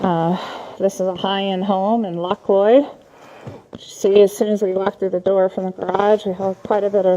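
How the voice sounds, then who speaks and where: A woman of medium pitch talks at a moderate pace in a flat monotone. Noticeable background noise runs behind her. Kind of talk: job site walkthrough narration. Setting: speaking inside full hazmat gear.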